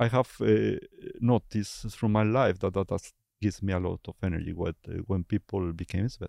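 A man with a Spanish accent speaks in a dark, mellow tone at a fairly low pitch. His intonation is fairly even, and the sound is dry and close with no echo. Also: moderate pace. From Basque Country, Spain. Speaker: architect and creative director, lecturer. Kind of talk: casual interview conversation.

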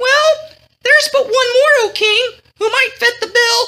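A woman's put-on character voice, extremely high and bright, sharp in tone, at a fairly slow pace with ordinary pitch variation.

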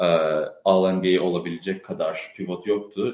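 At a fairly slow pace, a man speaks with a slight American accent. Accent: slight American accent in Turkish. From US Midwest, Chicago (Turkish heritage). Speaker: basketball podcast host, data analyst. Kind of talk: casual live-stream chat.

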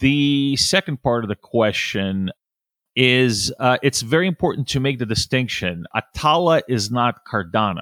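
On a very clean recording with a silent background and a dry, close sound with no echo, a man in a normal speaking voice talks fairly slowly at a medium pitch, with lively intonation and very even loudness. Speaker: business development professional. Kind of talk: casual interview chat.

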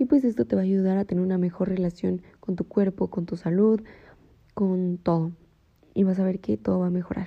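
Her tone is dark and mellow, at a medium pitch for a woman. The woman speaks at a fairly quick pace. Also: ordinary pitch variation. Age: 20s. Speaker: podcast host. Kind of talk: personal reflection monologue.

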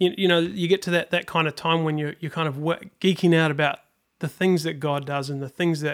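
Fairly high in pitch, a man with a New Zealand accent talks at a fairly quick pace with fairly even intonation. The recording is very clean with a silent background. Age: 40s. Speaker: worship leader. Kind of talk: casual interview.

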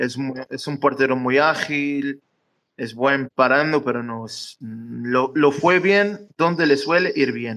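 A man's fairly high, bright, sharp voice at a very slow pace, with ordinary pitch variation and big swings in loudness. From Madeira, Portugal. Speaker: football fan. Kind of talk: casual match analysis chat. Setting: live audio room on social media, recorded as podcast.

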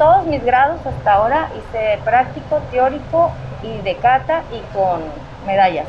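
Her voice sits high for a woman, swinging very widely in pitch and greatly in loudness at a fairly slow pace over noticeable background noise. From Mexico, Tamaulipas (Ciudad Victoria). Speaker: judo instructor. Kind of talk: interview. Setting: dojo.

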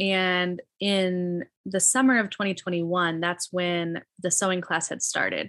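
A woman speaks in an ordinary speaking voice at medium pitch with an American accent, against a quiet background. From US Midwest, Illinois. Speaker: refugee ministry organizer and English teacher. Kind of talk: interview.

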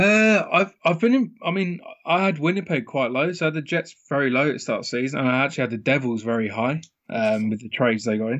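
His pitch ranges very widely. This man's voice sits fairly high. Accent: British. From UK. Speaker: professional sports bettor. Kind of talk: casual interview.

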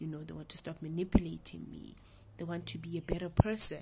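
A somewhat breathy woman's voice against a quiet background. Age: 20s. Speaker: podcast guest. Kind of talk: casual chat.

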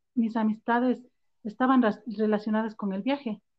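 A woman's fairly high voice, monotone and flat in intonation, at a moderate pace. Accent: highland Ecuadorian. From Ecuador, raised in Quito (born Ambato). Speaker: backpacker and entrepreneur. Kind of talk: interview conversation.

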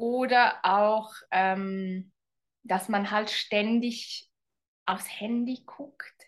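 At a very slow pace, a woman talks in a fairly high pitch with fairly even intonation. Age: 40s. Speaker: relationship coach. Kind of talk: interview.

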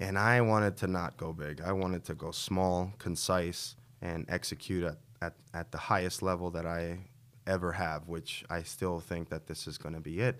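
A man with an American accent and a very deep, low pitch is heard in a very clean recording with a silent background. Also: fairly even intonation, moderate pace. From Queens, New York City. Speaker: café co-founder and entrepreneur. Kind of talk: interview.

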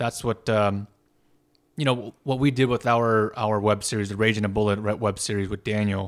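A man with an unremarkable speaking voice talks at a moderate pace, fairly low in pitch and with fairly even intonation, on a very clean recording with a silent background. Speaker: stunt performer and actor, podcast host. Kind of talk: casual chat. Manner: casual, rambling, filler-heavy.

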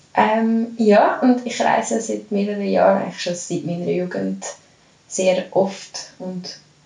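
A woman at medium pitch, with noticeable background noise and audible room echo. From Switzerland, Lucerne. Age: 30s. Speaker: yoga and fitness coach. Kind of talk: casual interview.

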